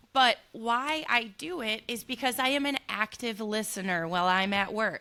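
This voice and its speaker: Loud and lively in intonation, a woman speaks with a fairly high pitch and a bright, sharp tone. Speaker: hairstylist and podcast co-host. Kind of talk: casual chat. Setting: salon.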